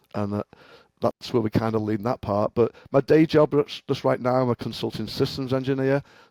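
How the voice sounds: In a Liverpool accent, a man talks at a moderate pace and medium pitch, his tone dark and mellow, his intonation fairly even, the sound dry and close with no echo.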